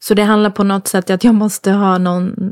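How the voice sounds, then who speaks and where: With a dry, close sound and no echo, a woman talks at a medium pitch in a monotone, flat way. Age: 30s. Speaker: podcast guest. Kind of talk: casual chat.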